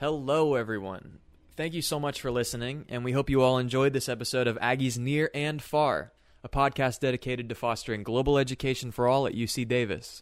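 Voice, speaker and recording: At a fairly quick pace, a man with an ordinary speaking voice talks in a medium pitch on a very clean recording with a silent background. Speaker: podcast announcer. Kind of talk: scripted outro.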